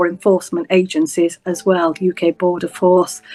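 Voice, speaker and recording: With a slight Yorkshire accent, a woman speaks fairly quickly at a medium pitch. The sound is dry and close, with no echo. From northern England, Bradford, West Yorkshire. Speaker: senior prosecutor. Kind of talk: interview. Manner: hesitant, many fillers.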